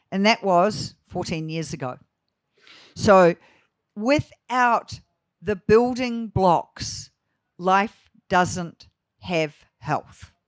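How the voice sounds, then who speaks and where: In a New Zealand accent, a woman at medium pitch speaks at a very slow pace with lively intonation and long, frequent pauses, on a very clean recording with a silent background. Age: 60s. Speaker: grazing management educator. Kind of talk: conference talk. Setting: festival talk with live audience.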